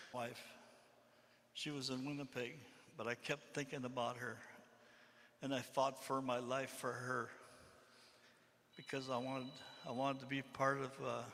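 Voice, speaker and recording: With long, frequent pauses, a man delivers his words in a bright, sharp tone and monotone, flat intonation. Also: medium pitch for a man, moderate pace. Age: 60s. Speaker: community member. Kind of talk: testimony.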